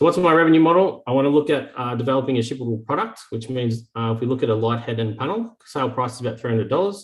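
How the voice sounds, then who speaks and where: A man with an Australian accent speaks very fast, with hardly any pauses. His voice is somewhat breathy and medium in pitch, with ordinary pitch variation. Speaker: startup founder. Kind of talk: sales pitch.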